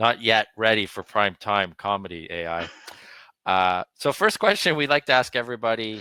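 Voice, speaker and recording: A man speaks in a plain, everyday voice, fairly low in pitch with ordinary pitch variation. His pace is moderate, and the sound is dry and close with no echo. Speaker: podcast host. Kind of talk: podcast interview hosting.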